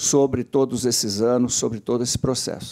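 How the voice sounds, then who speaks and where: A man speaks with a dark, mellow tone and fairly even intonation. The background is quiet. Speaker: professor. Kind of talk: panel talk. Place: meeting room. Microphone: podium.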